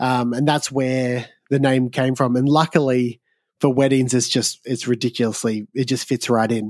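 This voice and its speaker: A man speaks with an Australian accent at a medium pitch. His intonation is monotone and flat. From Australia, southeast Victoria. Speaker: wedding videographer and photographer. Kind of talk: casual chat. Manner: casual, hesitant with fillers.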